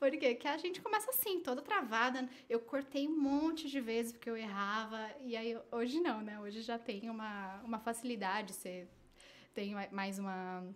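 With a plain, everyday voice, a woman pitched fairly high speaks at a moderate pace. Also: ordinary pitch variation. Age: 30s. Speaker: social media strategist and digital influencer. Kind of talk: casual interview.

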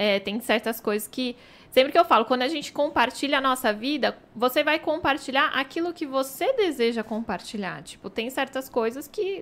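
Speaking at a moderate pace, a woman uses lively intonation in a high pitch. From Brazil, São Paulo. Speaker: image and marketing consultant. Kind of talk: casual chat.

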